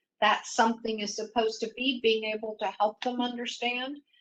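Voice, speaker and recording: Her voice fairly high, a woman speaks in a flat monotone. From Mexico. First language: Spanish. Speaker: executive panelist. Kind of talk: panel discussion.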